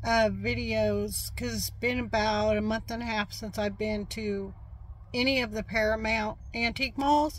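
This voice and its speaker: The speaker is a woman. Her recording sounds dry, with no echo. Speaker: vlogger, reseller. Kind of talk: casual vlog chat. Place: car. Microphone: phone near.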